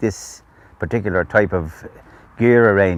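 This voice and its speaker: In a Dublin accent, a man talks at a fairly low pitch with ordinary pitch variation. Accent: Irish (Dublin area). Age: 70s. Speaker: vintage motorbike restorer. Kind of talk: oral history interview. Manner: hesitant, many fillers.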